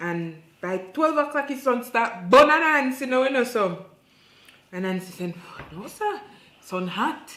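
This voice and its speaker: Her pitch high and swinging very widely, a woman speaks fairly slowly with big swings in loudness. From Jamaica. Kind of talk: folktale storytelling in patois.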